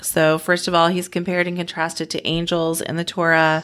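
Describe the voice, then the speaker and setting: This woman has a normal speaking voice, fairly low in pitch, at a moderate pace on a very clean recording with a silent background. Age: 40s. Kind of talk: casual devotional chat.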